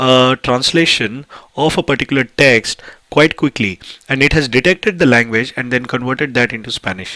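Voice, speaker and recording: With an Indian accent, a man speaks at a medium pitch in a bright, sharp tone. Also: dry, close sound with no echo. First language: Hindi. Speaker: tech YouTuber. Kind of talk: tutorial. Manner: hesitant, many fillers.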